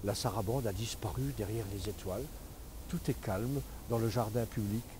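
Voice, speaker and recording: Using a dark, mellow tone with vocal fry, a man speaks at a moderate pace with ordinary pitch variation. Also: fairly low pitch for a man. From Moselle-Est, France. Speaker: storyteller. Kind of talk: read story.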